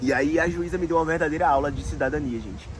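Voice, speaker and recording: This man talks at a fairly quick pace. Music plays in the background. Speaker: immigrant vlogger. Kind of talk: casual storytelling vlog. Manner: informal, chatty.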